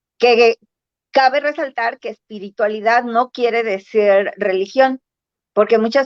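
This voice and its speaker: The sound is dry and close with no echo, with speech at a fairly slow pace and ordinary pitch variation. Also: woman. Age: 60s. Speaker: spiritual practitioner guest. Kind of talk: casual interview chat. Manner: halting, many fillers.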